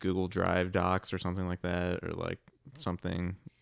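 A man with an American accent and a very deep, low pitch, on a very clean recording with a silent background and a dry, close sound with no echo. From Papillion, Nebraska, US. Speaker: delivery driver. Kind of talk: casual chat.

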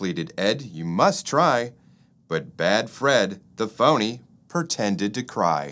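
Here the text is read aloud in a natural voice.

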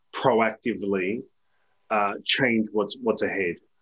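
A man speaks with an Australian accent. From South Australia, Adelaide Hills. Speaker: leadership author and educator. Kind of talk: interview conversation.

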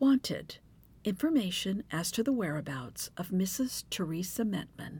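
A woman with an American accent speaks at a fairly slow pace in a somewhat breathy, medium-pitched voice with lively intonation on a very clean recording with a silent background. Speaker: true crime podcaster. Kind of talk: scripted narration of a true crime story with humorous asides. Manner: humorous, judgmental, informal.

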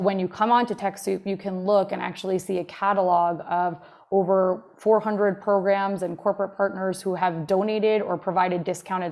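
A woman with an American accent, a plain, everyday voice, medium pitch, a moderate pace, fairly even intonation and hardly any pauses. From New Jersey, Jersey Shore. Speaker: nonprofit tech manager. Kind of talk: interview.

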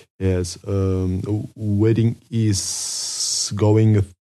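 This man's voice sits at a fairly low pitch with a dark, mellow tone. His intonation is monotone and flat. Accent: North Caucasus. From Russia, Kislovodsk. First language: Karachay. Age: 20s. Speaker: university student. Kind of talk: casual chat. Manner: halting.

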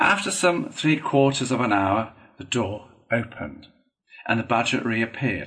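An unforced reading voice over a quiet background

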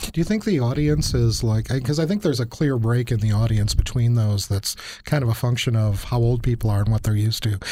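A man's voice has a dark, mellow tone at a medium pitch and sounds somewhat breathy. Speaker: university professor podcast host. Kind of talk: interview conversation.

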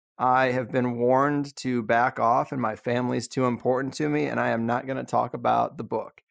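Delivered at a moderate pace in a normal speaking voice, the speech comes through a very clean recording with a silent background. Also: man. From San Diego, California. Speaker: podcast host. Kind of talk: casual interview chat.

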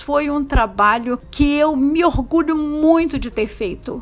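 A woman speaking very slowly, with ordinary pitch variation. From rural Minas Gerais, Brazil. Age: 70s. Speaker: actress and playwright. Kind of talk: interview.

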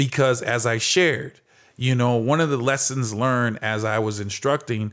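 A man with a normal speaking voice talks at a fairly slow pace and medium pitch, with ordinary pitch variation, on a very clean recording with a silent background. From Phoenix, Arizona. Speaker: former athlete and speaker. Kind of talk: interview.

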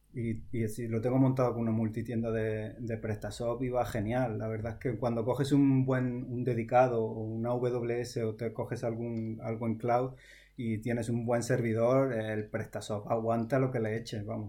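This man's tone is dark and mellow. His intonation stays monotone and flat. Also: medium pitch for a man, moderate pace, hardly any pauses. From Almería, Andalusia, Spain. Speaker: software developer. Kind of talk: casual interview.

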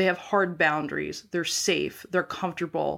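A plain, everyday voice: a woman with an American accent, fairly low pitch and ordinary pitch variation, on a very clean recording with a silent background. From US Midwest, North Dakota. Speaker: podcast co-host. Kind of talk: casual chat.

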